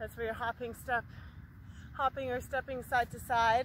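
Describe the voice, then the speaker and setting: A woman speaks while light background noise runs beneath her. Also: dry sound with no echo. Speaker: fitness instructor. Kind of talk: workout instruction. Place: open country.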